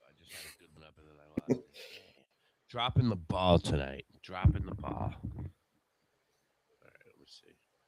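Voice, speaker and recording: Loudness swings widely, and the intonation is lively with vocal fry. The pace is moderate, broken by long, frequent pauses. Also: man, very deep, low pitch for a man. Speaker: livestream host. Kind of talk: casual chat.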